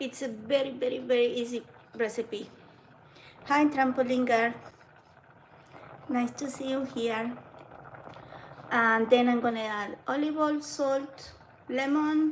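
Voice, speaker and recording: A woman's high-pitched voice at a fairly slow pace, with fairly even intonation, long, frequent pauses and noticeable background noise. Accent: non-native. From Argentina. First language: Spanish. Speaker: home cooking livestreamer. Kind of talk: live cooking demo.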